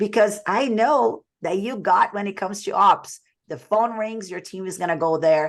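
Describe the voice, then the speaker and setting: Against a quiet background, a woman speaks at a fairly quick pace. Her pitch swings very widely. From Brazil. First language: Portuguese. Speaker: sales coach. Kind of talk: webinar presentation.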